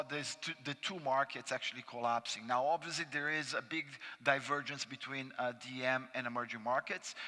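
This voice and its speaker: With a Brazilian accent, a man speaks in a bright, sharp tone. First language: Portuguese. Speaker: panelist, investment analyst. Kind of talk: conference panel presentation. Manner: frequent fillers and restarts.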